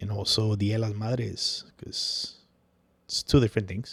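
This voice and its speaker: The speaker goes at a fairly slow pace in a Spanish accent. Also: man. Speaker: podcast host. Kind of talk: casual chat. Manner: casual, filler-heavy.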